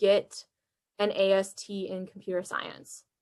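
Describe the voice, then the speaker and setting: Pitched in the medium range, a woman speaks with a bright, sharp tone. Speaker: college alumni workshop presenter. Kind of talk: workshop presentation. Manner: fast.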